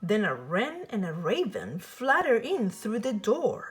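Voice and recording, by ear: Speaking slowly at a medium pitch, a woman makes very wide pitch swings.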